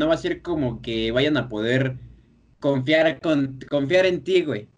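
With a quiet background, a man's voice comes through at a fairly high pitch. His intonation is lively. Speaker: podcast host. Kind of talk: casual chat.

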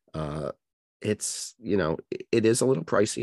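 Vocal fry at a fairly quick pace, with a dry, close sound and no echo. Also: man, quiet background. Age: 50s. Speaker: podcast guest, travel agent. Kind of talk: casual chat. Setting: video call.

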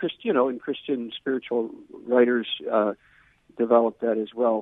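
A man's voice, medium in pitch, moves along at a moderate pace. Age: 60s. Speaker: Jesuit priest and religious studies professor. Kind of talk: interview. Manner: halting, repeats words.

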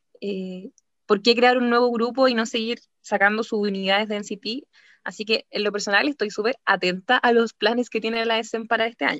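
A woman talks at a moderate pace with a Chilean accent. Her pitch sits fairly high, and her intonation stays fairly even. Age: 20s. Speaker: podcast co-host. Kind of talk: casual chat.

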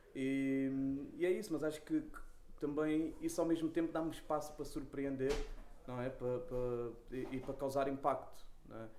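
A man speaks with a Lisbon accent and a dark, mellow tone. Audible room echo surrounds his voice. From Portugal, Lisbon (Lumiar). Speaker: rapper. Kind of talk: casual interview. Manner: halting, repeats words.

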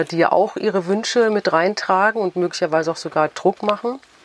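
A woman talks in a normal speaking voice at a medium pitch and a fairly quick pace, with ordinary pitch variation. The sound is dry and close, with no echo. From Frankfurt, Germany. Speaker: novelist. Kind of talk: interview.

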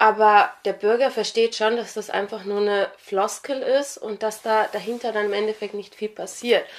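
At a moderate pace and with hardly any pauses, a woman speaks in a fairly high pitch with fairly even intonation. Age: 20s. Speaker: local election candidate and law student. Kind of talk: interview. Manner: hesitant with many fillers.

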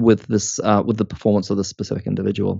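A man talks with a New Zealand accent. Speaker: organisational psychology academic. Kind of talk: interview. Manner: hesitant, with many fillers.

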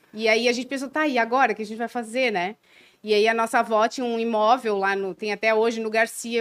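A woman's fairly high voice at a fairly quick pace on a very clean recording with a silent background. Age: 40s. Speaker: clothing brand co-founder, entrepreneur. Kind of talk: interview conversation.

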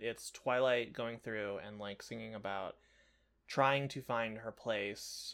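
At a fairly slow pace, a man speaks at a medium pitch in an ordinary speaking voice on a very clean recording with a silent background. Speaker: podcast co-host. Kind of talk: casual chat.

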